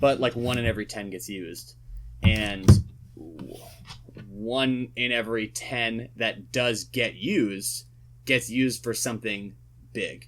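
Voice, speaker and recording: A man speaks at a medium pitch and a fairly slow pace, with ordinary pitch variation. He leaves long, frequent pauses, and his loudness swings widely. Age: 20s. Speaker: singer-songwriter. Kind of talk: casual chat. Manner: halting.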